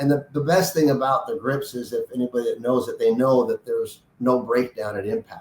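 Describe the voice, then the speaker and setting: Somewhat breathy, a man talks at a fairly quick pace with hardly any pauses. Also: lively intonation. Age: 60s. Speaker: golf grip designer and company founder. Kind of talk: casual interview. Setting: podcast interview.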